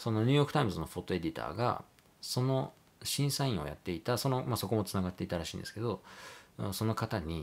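The speaker talks at a very fast pace with lively intonation. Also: man, fairly low pitch for a man. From Japan, moved around incl. Hiroshima, Hokkaido, US, Canada; Japan. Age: 30s. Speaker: photographer. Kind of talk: casual monologue vlog; casual vlog chat, self-introduction. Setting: at home late at night. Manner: polite, hesitant with fillers. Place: home room.

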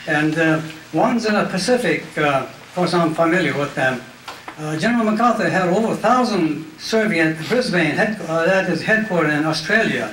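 A man's high-pitched voice at a moderate pace, with ordinary pitch variation, light background noise and audible room echo. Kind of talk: public talk, personal memoir. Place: hall. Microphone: handheld.

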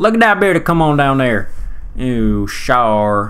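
A man with a Southern US accent in a playful tone. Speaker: gaming commentator. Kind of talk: casual gameplay commentary. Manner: playful, rambling.

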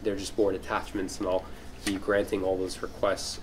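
A man speaks with a fairly low pitch. Light background noise can be heard. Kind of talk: meeting announcement. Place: meeting room. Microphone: camera far.

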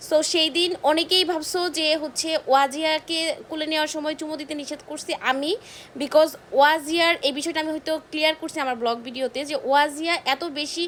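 A woman speaks loudly in a high voice. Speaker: vlogger. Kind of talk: apology monologue to viewers.

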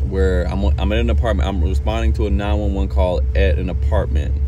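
A man's very deep, low voice at a moderate pace, monotone and flat, dry with no echo, with music in the background. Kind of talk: casual vlog chat. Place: car. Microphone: phone near.

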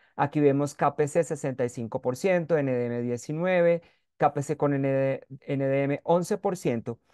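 In a quiet background with a dry, close sound and no echo, a man with a fairly high pitch and a dark, mellow tone talks at a very slow pace with ordinary pitch variation. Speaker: microbiology professor. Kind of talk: webinar lecture.

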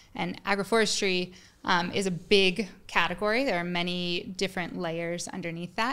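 A woman with an American accent, a bright, sharp tone and a moderate pace. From US West (Colorado). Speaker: farmer and educator. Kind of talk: interview. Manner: passionate, animated. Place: studio. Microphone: studio mic.

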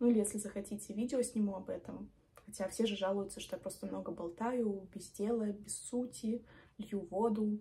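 A woman's somewhat breathy voice with a dark, mellow tone, fairly even intonation, and moderate pace. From Belarus. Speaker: medical student and video blogger; medical student vlogger. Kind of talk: vlog monologue. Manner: chatty. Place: home room. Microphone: phone near.

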